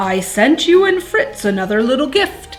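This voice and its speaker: A woman performs a put-on character voice at a moderate pace with faint music in the background. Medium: read story. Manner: warm, theatrical.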